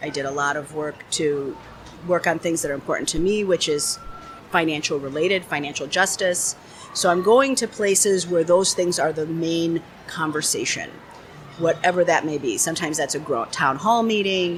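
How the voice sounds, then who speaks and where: A woman with a fairly low pitch and ordinary pitch variation keeps a moderate pace as noticeable background noise goes on around her. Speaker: business strategist. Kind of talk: interview answer.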